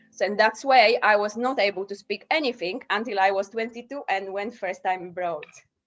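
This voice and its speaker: A woman with a Polish accent talks at a fairly quick pace and medium pitch, with ordinary pitch variation and hardly any pauses. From Poland, small village. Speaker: self-taught polyglot. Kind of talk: interview.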